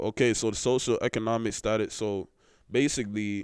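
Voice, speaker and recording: The very clean recording, with a silent background, captures a man at a fairly low pitch with fairly even intonation. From Alberta, Canada. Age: 20s. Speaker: podcast host. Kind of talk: casual monologue.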